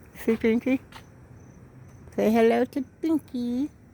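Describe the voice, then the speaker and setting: This woman speaks with an American accent. Her tone is dark and mellow. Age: 70s. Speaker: vlogger. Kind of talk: casual vlog monologue. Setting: at home, briefly outdoors. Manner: rambling, conversational.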